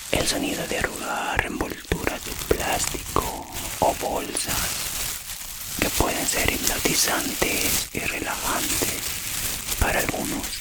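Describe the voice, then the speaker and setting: A woman's very slow, calm whispering against noticeable background noise. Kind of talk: ASMR relaxation narration. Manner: soft, calm, friendly.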